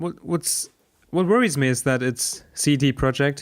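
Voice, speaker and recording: A man with a German accent at a moderate pace, with ordinary pitch variation. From Germany. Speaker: podcast co-host. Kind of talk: casual chat.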